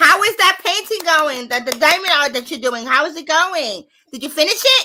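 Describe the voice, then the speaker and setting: A woman with a high voice speaks in a raised, projected, animated way at a moderate pace. Her pitch swings very widely and her loudness rises and falls sharply. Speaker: paranormal live stream host. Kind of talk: casual chat. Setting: live stream.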